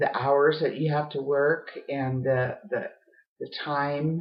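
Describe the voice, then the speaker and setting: A woman speaks at a very slow pace. Her pitch is very deep and low, and her intonation stays fairly even. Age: 60s. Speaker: home business promoter and artist. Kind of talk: casual monologue. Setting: home art studio office. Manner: halting, many fillers.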